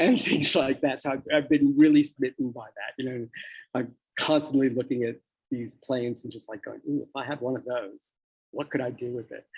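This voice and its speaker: A man with a normal speaking voice and an American accent talks at a fairly quick pace and medium pitch. His intonation stays fairly even while his loudness swings widely. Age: 60s. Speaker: charity president, record producer. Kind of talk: interview.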